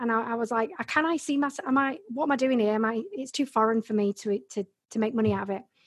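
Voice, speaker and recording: In an English accent, the speaker goes at a fairly quick pace with ordinary pitch variation against a quiet background. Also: woman. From Yorkshire, England (Bradford). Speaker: Amazon seller and business coach. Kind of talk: casual interview about her career story.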